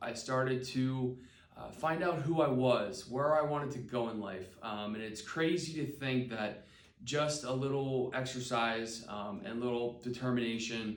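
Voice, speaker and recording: Amid audible room echo, a man with a medium pitch and ordinary pitch variation speaks at a fairly slow pace. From Pennsylvania, Palmyra. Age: 20s. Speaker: special education teacher. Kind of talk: personal testimony video. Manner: hesitant, many fillers.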